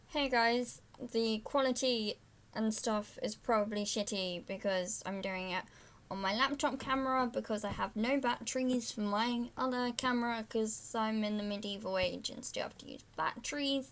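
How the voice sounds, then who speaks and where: A woman speaks with a British accent at a fairly high pitch. Her pace is moderate and her intonation fairly even. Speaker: vlogger. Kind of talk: unboxing video. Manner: loud; casual, rambling. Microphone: laptop camera mic, low quality.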